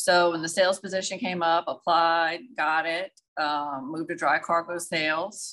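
Speaking with a south Louisiana accent, a woman uses a fairly low pitch and a bright, sharp tone. Her pace is moderate, her intonation fairly even, and the background quiet. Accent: south Louisiana Southern US. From Louisiana, Donaldsonville. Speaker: maritime logistics and sales professional. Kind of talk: interview.

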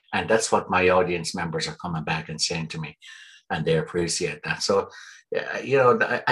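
A man with an Irish accent, at a moderate pace. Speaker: performer and author. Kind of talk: interview conversation.

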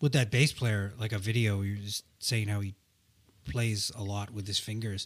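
A man speaks at a moderate pace in a fairly low voice with somewhat breathy delivery and fairly even intonation. The recording is very clean, with a silent background. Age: 40s. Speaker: musician in a rock band. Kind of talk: casual chat.

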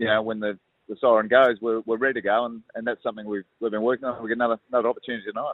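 In an Australian accent, a man rattles along very fast with flat, monotone intonation. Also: medium pitch for a man. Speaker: football club coach. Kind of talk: interview.

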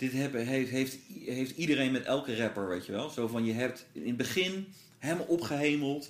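Pitch varies in an ordinary way, and the pace is moderate. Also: man, medium pitch for a man. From Netherlands, Brabant (born in Gouda). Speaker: rapper. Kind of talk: casual chat. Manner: halting, many fillers.

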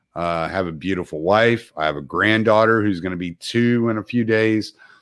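A man with an American accent has an unremarkable speaking voice and a fairly low pitch. He talks at a moderate pace against a quiet background. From Texas. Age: 40s. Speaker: truck driver and military veteran. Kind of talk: casual chat.

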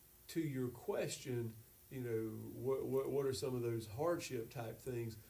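A man speaks very slowly in a somewhat breathy voice with a dark, mellow tone and medium pitch. Room echo is audible. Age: 50s. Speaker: pastor. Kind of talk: casual chat.

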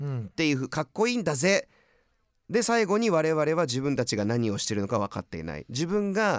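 His pitch swings very widely as this man speaks in a dry, close recording with no echo, very clean and with a silent background. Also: fairly high pitch for a man, fairly quick pace. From California. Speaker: podcast host presenting music artists. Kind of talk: casual chat.

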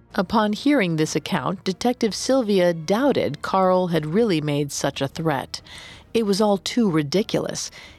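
With music in the background, a woman speaks at a moderate pace, her intonation lively and her loudness very even. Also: medium pitch for a woman, dry, close sound with no echo. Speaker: podcast narrator. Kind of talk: true-crime narration. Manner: measured, grave storytelling tone.

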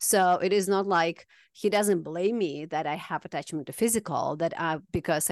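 Speaking with a Kazakh accent, a woman at a medium pitch talks at a fairly quick pace, her sound dry and close with no echo against a quiet background. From Kazakhstan. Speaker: healer. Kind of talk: casual chat.

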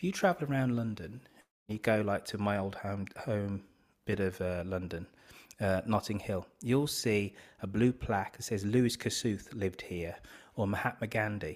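Recorded very cleanly with a silent background, a man with a Birmingham accent speaks at a moderate pace and a fairly low pitch, with ordinary pitch variation. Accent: Birmingham (Brummie) English. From Birmingham, England. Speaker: podcast host and author. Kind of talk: interview conversation.

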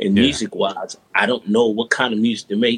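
A man with a New York accent at a very fast pace. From New York, Brooklyn (Brownsville). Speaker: music producer. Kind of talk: interview.

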